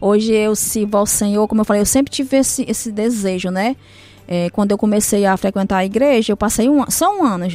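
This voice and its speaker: Her pitch is fairly high, with ordinary variation. The woman talks at a fairly quick pace. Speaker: churchgoer sharing conversion story. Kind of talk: testimony. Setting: radio studio.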